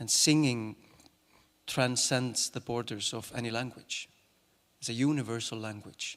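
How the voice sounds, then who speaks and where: This man has an Icelandic accent and a medium pitch. He talks at a fairly slow pace. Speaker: actor and singer. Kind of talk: talk to an audience. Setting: stage with audience. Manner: halting.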